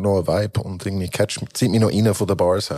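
A man with a dark, mellow tone speaks very fast, with ordinary pitch variation. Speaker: rapper. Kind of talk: casual chat.

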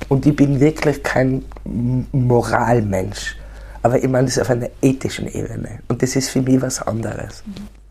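The speech comes at a moderate pace against noticeable background noise. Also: woman. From Austria, Tyrol. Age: 60s. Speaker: poet. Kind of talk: interview.

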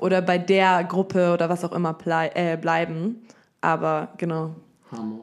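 A woman with a fairly low pitch at a fairly slow pace, showing ordinary pitch variation and an ordinary speaking voice. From Germany, Munich. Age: 20s. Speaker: dancer and dance teacher. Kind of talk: casual chat.

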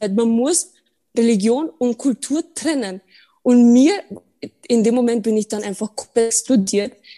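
A woman speaks fairly slowly at a fairly high pitch in a dark, mellow tone, with ordinary pitch variation, long, frequent pauses, and a dry, close sound with no echo. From Austria, Burgenland. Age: 20s. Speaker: podcast guest. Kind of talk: casual chat.

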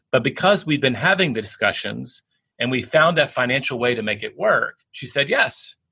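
A man with a Southern US accent, bright, sharp tone and lively intonation at a moderate pace, over a quiet background. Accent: Southern American. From US South, Tennessee. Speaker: bestselling author and business executive. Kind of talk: interview.

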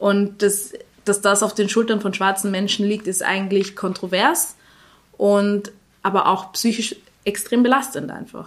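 In a normal speaking voice, a woman of medium pitch talks at a fairly slow pace with fairly even intonation. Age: 20s. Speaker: journalist and association founder. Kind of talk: interview.

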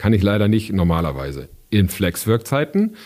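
A man with a fairly low pitch and a dark, mellow tone speaks at a moderate pace. His pitch swings very widely, and the recording is very clean with a silent background. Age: 40s. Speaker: team lead at an insurance company. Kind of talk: interview. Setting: studio.

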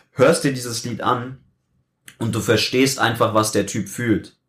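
A man at a moderate pace, somewhat breathy, with fairly even intonation. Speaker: youtuber. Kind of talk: casual chat. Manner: steady pitch.

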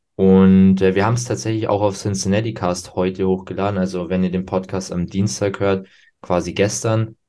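Very deep and low, the man's voice has a dark, mellow tone and fairly even intonation. He speaks at a moderate pace on a very clean recording with a silent background. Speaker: bodybuilding podcast host. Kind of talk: casual chat.

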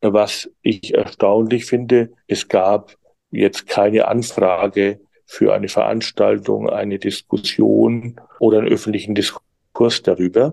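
A man talks at a very slow pace. His voice sounds dry and close, without any echo. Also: very even loudness. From Germany. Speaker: journalist. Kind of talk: interview. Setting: video call. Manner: hesitant, many fillers.

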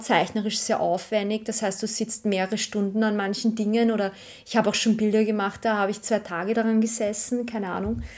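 A woman with a Viennese accent, fairly high-pitched and flat in intonation, at a fairly quick pace on a very clean recording with a silent background. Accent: Viennese Austrian German. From Austria, Vienna. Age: 30s. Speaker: archivist and artist. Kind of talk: casual interview. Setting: at home.

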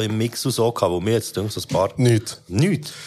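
A man with a Swiss accent talks at a fairly quick pace. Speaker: podcast host reviewing rap releases. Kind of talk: casual chat.

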